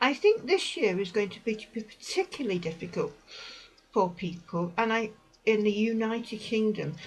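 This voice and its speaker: A woman speaks at a fairly high pitch with ordinary pitch variation and a somewhat breathy quality. Her loudness swings a lot. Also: moderate pace. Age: 60s. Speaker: vlogger. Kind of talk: personal advice talk. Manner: hesitant.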